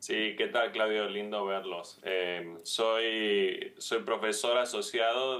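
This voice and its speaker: Amid noticeable background noise, a man talks with a Tucumán accent. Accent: Tucumán Argentine. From Argentina, Tucumán. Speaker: infectious disease physician, professor. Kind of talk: TV interview. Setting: video call.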